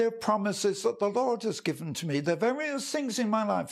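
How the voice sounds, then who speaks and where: A man with an English accent, an extremely high pitch, and lively intonation. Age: 90s. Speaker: evangelist. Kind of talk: devotional talk. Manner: halting.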